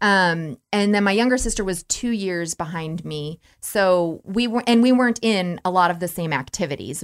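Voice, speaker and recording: The speaker has a Midwestern American accent and a moderate pace. There are hardly any pauses. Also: woman, medium pitch for a woman, ordinary pitch variation. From Nebraska, Norfolk. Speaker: Lutheran minister. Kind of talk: casual chat.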